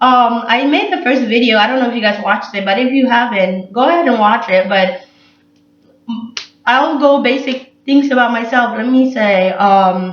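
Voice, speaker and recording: A woman talks loudly at a moderate pace, her high pitch showing ordinary variation. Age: 20s. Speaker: vlogger, college student. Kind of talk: casual vlog monologue.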